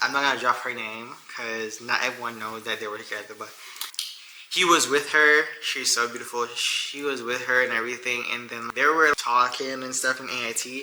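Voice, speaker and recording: Against noticeable background noise, a man with a medium pitch speaks at a moderate pace with fairly even intonation. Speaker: YouTuber, soldier. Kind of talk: casual Q&A vlog.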